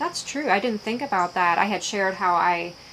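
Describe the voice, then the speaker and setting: Noticeable background noise is present throughout. Over it, a woman delivers her words fairly quickly. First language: Pennsylvania Dutch. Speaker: YouTuber. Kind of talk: casual Q&A vlog. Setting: in her shed. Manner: halting, many fillers.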